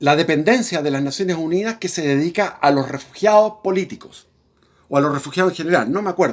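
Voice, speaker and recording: This man's voice is fairly high-pitched, with ordinary pitch variation. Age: 60s. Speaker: political commentator. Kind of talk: personal storytelling monologue. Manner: halting.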